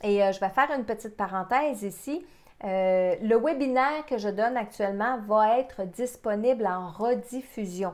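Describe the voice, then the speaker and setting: Here a woman talks at a moderate pace in a plain, everyday voice with fairly high pitch. Her pitch varies in an ordinary way, and the background is quiet. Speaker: psychic medium. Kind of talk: webinar presentation. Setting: online webinar.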